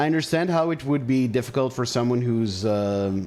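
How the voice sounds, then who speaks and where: A man with an Israeli accent speaks at a fairly quick pace and medium pitch. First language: Hebrew. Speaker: gaming streamer. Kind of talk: live gameplay commentary with chat. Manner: casual, conversational.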